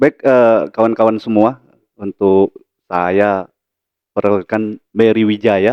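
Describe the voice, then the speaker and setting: The speech comes in a Sumatran accent at a very slow pace. Its intonation is fairly even, broken by long, frequent pauses. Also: man, fairly low pitch for a man. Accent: Sumatran Indonesian. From Lampung, Sumatra, Indonesia. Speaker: university lecturer and vice dean. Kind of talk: podcast interview. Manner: hesitant, many fillers.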